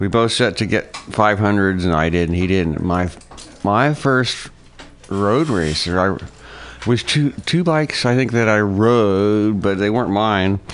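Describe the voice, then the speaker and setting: A man with a fairly low pitch speaks in a normal speaking voice at a fairly slow pace, with ordinary pitch variation and very even loudness. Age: 50s. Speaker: motorcycle racer. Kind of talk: interview.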